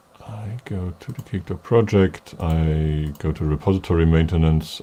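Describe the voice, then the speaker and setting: A man with a German accent speaks at a very deep, low pitch in a dark, mellow tone. His pitch variation is ordinary. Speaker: software developer presenting a webinar. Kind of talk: technical demo webinar.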